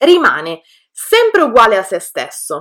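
A woman's pitch swings very widely as she talks at a very slow pace. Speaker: Italian language teacher, podcast co-host. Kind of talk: scripted language lesson. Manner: clear, didactic.

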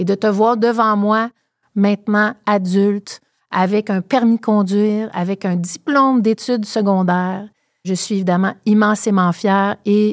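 In a normal speaking voice of medium pitch, a woman talks at a fairly slow pace, captured with a dry, close sound, no echo, and a very clean recording with a silent background. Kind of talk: casual interview.

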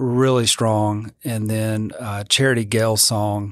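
With a Louisiana accent, a man speaks at a very slow pace and medium pitch. His intonation stays fairly even on a very clean recording with a silent background. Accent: Southern US (Louisiana). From Louisiana, near Baton Rouge. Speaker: church music minister. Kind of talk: interview.

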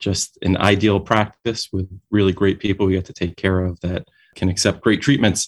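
With a New York accent, a man talks at a fairly quick pace in a fairly low, monotone, flat voice, on a very clean recording with a silent background and a dry, close sound with no echo. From New York City, Brooklyn. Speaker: dentist and company founder. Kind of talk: interview. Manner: halting, with repeated words and fillers.

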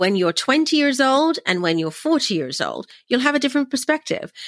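A woman talks at a moderate pace in a high voice with very wide pitch swings. The recording is very clean with a silent background and a dry, close sound without echo. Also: big swings in loudness. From England, London. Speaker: environmentalist and former radio host. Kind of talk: podcast interview.

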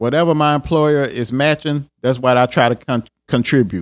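A man's normal speaking voice, fairly high in pitch, at a moderate pace with fairly even intonation, on a very clean recording with a silent background. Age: 40s. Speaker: podcast host and IT professional. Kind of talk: casual solo podcast talk. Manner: informal, conversational.

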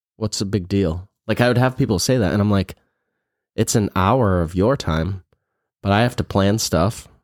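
An ordinary speaking voice comes at a moderate pace, with ordinary pitch variation and very even loudness. The recording is very clean, with a silent background and a dry, close sound with no echo. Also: man, fairly low pitch for a man. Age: 40s. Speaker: podcast co-host, salon business owner. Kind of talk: casual chat.

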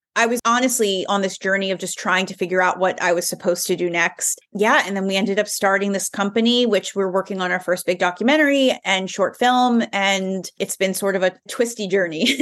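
A woman talks at a fairly quick pace with hardly any pauses in a plain, everyday voice. Her pitch is medium with ordinary variation, over a quiet background. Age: 30s. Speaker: filmmaker and journalist. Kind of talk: interview conversation.

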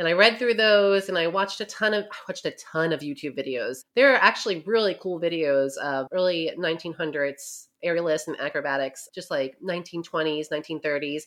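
A woman with an American accent speaks at a fairly low pitch with lively intonation. Her pace is fairly quick, with hardly any pauses. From New York. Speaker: author. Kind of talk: interview, casual chat.

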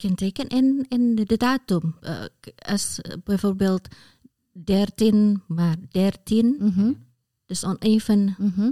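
In an Indonesian accent, a somewhat breathy voice with a dark, mellow tone and ordinary pitch variation moves at a very slow pace with long, frequent pauses, the sound dry and close with no echo on a very clean recording with a silent background. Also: woman, medium pitch for a woman. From Indonesia, Semarang. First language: Indonesian (speaking Dutch). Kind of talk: casual chat.

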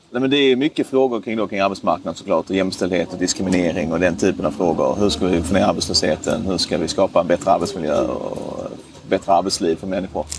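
Amid noticeable background noise, a man with a very deep, low pitch and ordinary pitch variation speaks at a very fast pace. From southern Sweden, Skåne (Ystad). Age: 20s. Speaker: member of parliament. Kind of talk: interview. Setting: outdoors.

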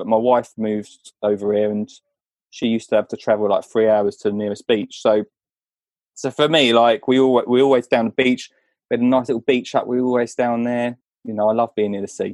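Monotone, flat intonation marks a man talking at a fairly quick pace in a medium pitch. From Essex, England. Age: 30s. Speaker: children's gardener and podcaster. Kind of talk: casual chat.

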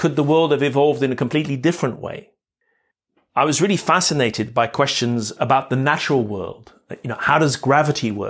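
On a very clean recording with a silent background, a man talks at a fairly quick pace. He has a normal speaking voice, fairly high pitch and ordinary pitch variation. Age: 50s. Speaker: podcast host. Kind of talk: reflective monologue. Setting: outdoors, walking in a park.

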